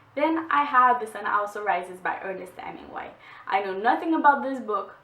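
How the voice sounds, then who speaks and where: A woman's lively, moderately paced speech amid noticeable background noise and audible room echo. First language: French. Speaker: book vlogger. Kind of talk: casual book haul vlog. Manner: halting, with fillers.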